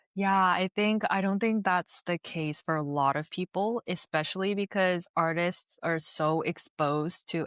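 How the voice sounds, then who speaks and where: A normal speaking voice at a fairly slow pace with ordinary pitch variation, in a dry, close sound with no echo and a very clean recording over a silent background. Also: woman. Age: 30s. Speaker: singer-songwriter and filmmaker. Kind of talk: casual interview chat. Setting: podcast.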